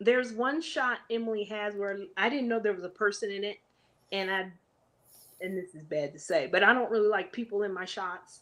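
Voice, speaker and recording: A woman talks at a fairly quick pace in an animated tone, with big swings in loudness. Her pitch varies in an ordinary way against a quiet background. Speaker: adventure traveler sharing her story. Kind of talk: casual interview storytelling.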